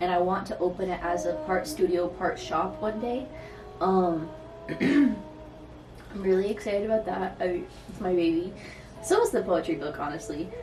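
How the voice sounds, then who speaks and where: A woman with an American accent at a moderate pace, long and frequent pauses, and music in the background. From Michigan. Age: 20s. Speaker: artist, poet, photographer. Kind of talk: casual vlog talk to camera. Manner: casual, rambling.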